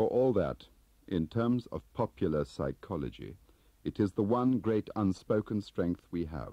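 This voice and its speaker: A man's dark, mellow tone with vocal fry and lively intonation, fairly slow pace, quiet background and dry sound with no echo. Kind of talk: audiobook narration of a spy novel. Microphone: old recording.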